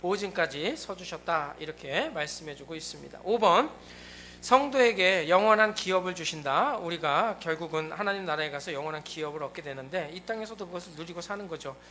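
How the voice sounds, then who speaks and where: A man's high-pitched voice with ordinary pitch variation and big swings in loudness, set against noticeable background noise. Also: fairly quick pace. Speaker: pastor. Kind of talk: sermon. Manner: fast.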